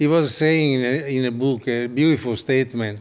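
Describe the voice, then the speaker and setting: A man speaks at a very slow pace in a medium pitch with ordinary pitch variation. The recording is very clean, with a silent background. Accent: Italian. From Italy. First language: Italian. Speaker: architect and designer. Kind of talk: interview. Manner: halting.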